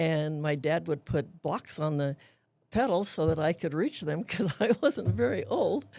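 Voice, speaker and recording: In an American accent, a dark, mellow tone carries lively intonation on a very clean recording with a silent background. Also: woman, very deep, low pitch for a woman. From US West, Antelope Valley, southern California. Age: 80s+. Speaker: retired school principal. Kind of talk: casual interview. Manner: halting.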